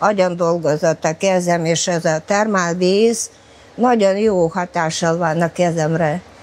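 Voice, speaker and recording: A woman talks at a very slow pace against noticeable background noise. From former Soviet Union. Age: 70s. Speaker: bath regular, pensioner. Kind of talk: interview. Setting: thermal bath.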